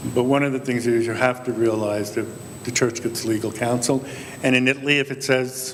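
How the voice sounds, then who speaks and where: Over noticeable background noise, a man talks at a fairly quick pace with a medium pitch and fairly even intonation. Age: 60s. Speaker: priest panelist. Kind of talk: panel discussion.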